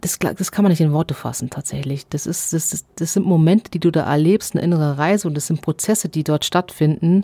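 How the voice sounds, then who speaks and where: A woman with a fairly low pitch speaks at a fairly quick pace in a dark, mellow, somewhat breathy tone. Her intonation is fairly even, and the sound is dry and close with no echo. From Allgäu, Bavaria. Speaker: long-distance barefoot hiker. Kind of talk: interview.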